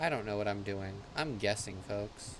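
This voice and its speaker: The speaker is a man. His voice carries an audible room echo. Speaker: gaming livestreamer. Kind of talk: live gameplay commentary. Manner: soft-spoken. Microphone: mic volume set too low, quiet.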